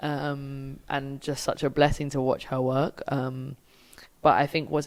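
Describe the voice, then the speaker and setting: A woman's very deep, low pitch with a British accent, a moderate pace and monotone, flat intonation. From UK. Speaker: film director. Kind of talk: interview. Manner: casual, filler-heavy.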